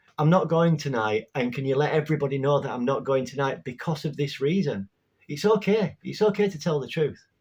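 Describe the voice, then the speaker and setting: A somewhat breathy man with a Yorkshire accent, lively intonation and a fairly quick pace, in a very clean recording with a silent background. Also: fairly high pitch for a man. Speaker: spirituality vlogger. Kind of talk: casual talk to camera. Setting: home bedroom.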